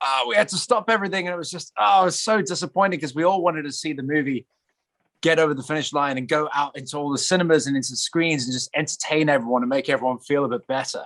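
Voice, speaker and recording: At a very fast pace, a man speaks with a fairly high pitch in a dry, close sound with no echo. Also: ordinary pitch variation. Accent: English. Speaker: actor. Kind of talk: interview.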